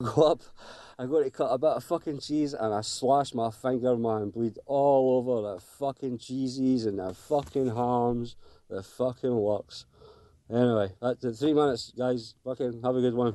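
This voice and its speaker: A man's medium-pitched voice in a Glaswegian accent, dark and mellow in tone, at a moderate pace. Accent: Glaswegian Scottish. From Glasgow, Scotland. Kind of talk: casual phone-in story. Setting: phone call.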